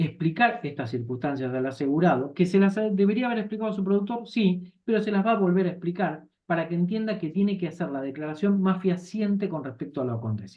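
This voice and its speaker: Hardly any pauses break up the very fast pace of this speech. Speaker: insurance course instructor. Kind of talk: lecture.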